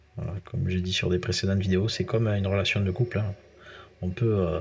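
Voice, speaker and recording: A man's somewhat breathy, fairly low voice with fairly even intonation at a fairly quick pace. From southern France. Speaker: gaming youtuber. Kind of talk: gameplay commentary. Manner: casual, hesitant with many fillers.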